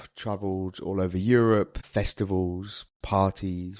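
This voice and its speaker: A fairly low-pitched man's voice in a British accent, flat and monotone, on a very clean recording with a silent background. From UK. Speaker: English teacher, former record label manager. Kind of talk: interview. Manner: casual, conversational.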